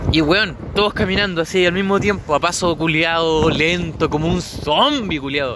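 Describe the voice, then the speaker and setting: A man with a Chilean accent and a high pitch speaks at a fairly slow pace over noticeable background noise. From Chile, Biobío region (Florida). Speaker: podcaster. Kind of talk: casual monologue. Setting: outdoors by the sea.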